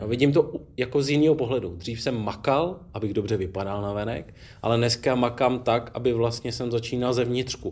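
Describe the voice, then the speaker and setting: At a fairly quick pace with hardly any pauses, a man speaks in a plain, everyday voice of medium pitch with ordinary pitch variation. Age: 40s. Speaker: former special forces soldier and rally rider, now city police officer. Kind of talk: casual interview. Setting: gym.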